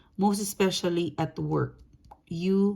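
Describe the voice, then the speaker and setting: Speaking at a very slow pace, a woman has a non-native accent. Her intonation is fairly even. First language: not English. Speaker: tarot reader. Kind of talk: tarot reading monologue. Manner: casual, conversational; halting, self-correcting.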